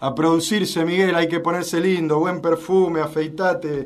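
Music plays in the background with audible room echo as a man speaks at a fairly slow pace. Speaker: radio host. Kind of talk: radio talk show.

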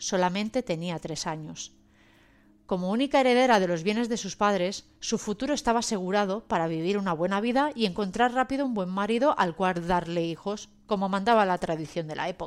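A woman's an ordinary speaking voice at medium pitch, fairly quick, with ordinary pitch variation, on a very clean recording with a silent background. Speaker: podcast section presenter. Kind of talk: scripted narration. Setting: virtual studio.

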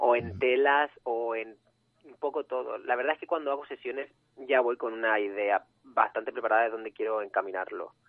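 A man speaks at a fairly quick pace in a medium pitch with ordinary pitch variation. It is a normal speaking voice with big swings in loudness. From Canary Islands. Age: 20s. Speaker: photographer. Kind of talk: interview.

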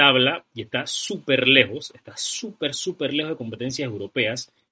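A man talks at a medium pitch. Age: 20s. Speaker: football podcast host. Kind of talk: casual football talk show. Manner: animated.

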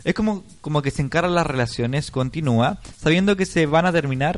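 A man with a Chilean accent talks at a fairly quick pace. His pitch is fairly high, with ordinary pitch variation. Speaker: online radio host. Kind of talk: casual chat.

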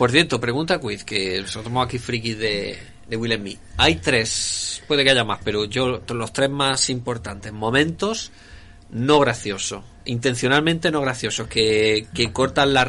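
Here a man talks at a fairly slow pace in a medium pitch with ordinary pitch variation. Noticeable background noise sits behind him. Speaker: podcast co-host. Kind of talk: casual chat.

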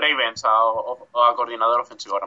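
This man speaks at a medium pitch. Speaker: football pundit. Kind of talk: casual chat. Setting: video call. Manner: halting, repeats words.

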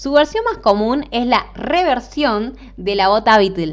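A woman of medium pitch, lively in intonation, at a fairly slow pace, with noticeable background noise. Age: 20s. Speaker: podcast host, footwear designer. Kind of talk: solo podcast monologue. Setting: home recording. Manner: halting.

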